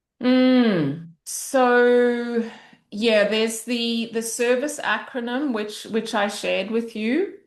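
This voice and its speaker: Very slow speech in an Australian accent, with ordinary pitch variation and audible room echo. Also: woman, fairly high pitch for a woman. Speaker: parent coach and facilitator. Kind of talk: interview conversation. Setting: video call. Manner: loud.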